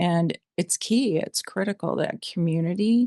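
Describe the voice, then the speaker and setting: With a plain, everyday voice, a woman speaks at a moderate pace and a fairly low pitch, her intonation fairly even, the sound dry and close with no echo and the background quiet. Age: 60s. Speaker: interview guest, van traveler. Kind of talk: podcast interview.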